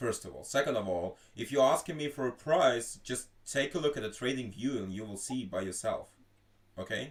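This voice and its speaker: With a Russian accent, a man speaks at a moderate pace and medium pitch, his intonation lively and his loudness swinging widely. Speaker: stream host. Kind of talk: casual group voice chat. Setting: live stream voice chat.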